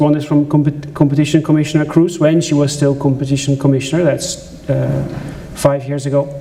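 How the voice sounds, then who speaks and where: A man with a Dutch accent speaks with a fairly high pitch. The room echo is audible, and there is noticeable background noise. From Netherlands. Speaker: journalist and conference speaker. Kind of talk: conference talk. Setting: stage with audience.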